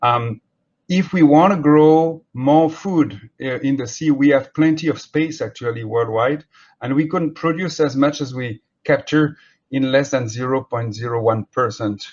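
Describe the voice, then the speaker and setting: In a French accent, a man speaks at a fairly slow pace with a fairly high pitch and ordinary pitch variation. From France. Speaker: marine scientist. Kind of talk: keynote lecture. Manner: halting.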